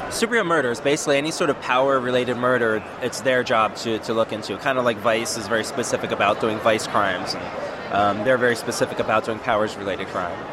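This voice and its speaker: Over noticeable background noise, a man with a medium pitch talks very fast, his pitch varying in an ordinary way. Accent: American. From US East Coast. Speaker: comic artist and writer. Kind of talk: casual interview at a convention.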